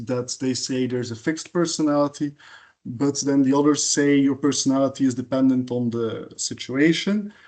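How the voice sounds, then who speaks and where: This man has a medium pitch and a dark, mellow tone, speaking at a fairly quick pace with fairly even intonation. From Belgium. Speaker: conference speaker. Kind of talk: lecture. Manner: halting, many fillers.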